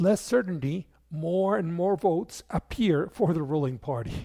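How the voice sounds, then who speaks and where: Someone with a non-native accent speaks at a fairly slow pace in a very clean recording with a silent background. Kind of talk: political explainer narration.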